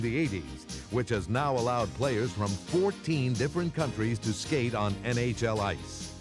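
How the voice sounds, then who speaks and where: A man holds a moderate pace, his pitch swinging very widely. Music sounds behind him. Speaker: PA announcer. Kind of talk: promotional marketing voice-over.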